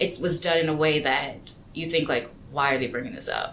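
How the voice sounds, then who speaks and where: A woman with a very deep, low pitch speaks at a fairly quick pace. Audible room echo surrounds her voice. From Louisiana, rural small town. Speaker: environmental policy manager. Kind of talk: podcast interview.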